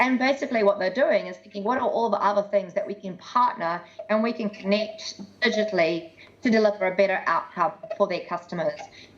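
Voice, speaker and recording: With noticeable background noise behind her, a woman of medium pitch speaks at a fairly quick pace with ordinary pitch variation. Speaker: tech industry speaker. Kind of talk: presentation. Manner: fast.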